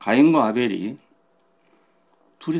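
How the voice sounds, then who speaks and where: A man speaks in a Gyeongsang accent. His voice has vocal fry. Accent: Gyeongsang dialect Korean. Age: 80s+. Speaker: pastor. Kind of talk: sermon.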